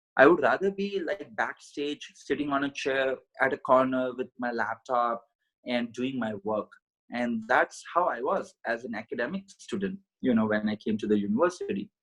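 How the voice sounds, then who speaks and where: At a moderate pace, a man with an Indian accent speaks at a medium pitch with lively intonation, the sound dry and close with no echo. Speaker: podcast guest, mindset coach. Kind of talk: interview. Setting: call from India.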